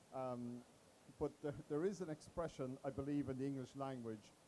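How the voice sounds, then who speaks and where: A man speaks at a moderate pace, his pitch fairly high for a man. His tone is dark and mellow, and his intonation fairly even. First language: not English. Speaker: panelist from a business advisory firm. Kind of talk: panel discussion.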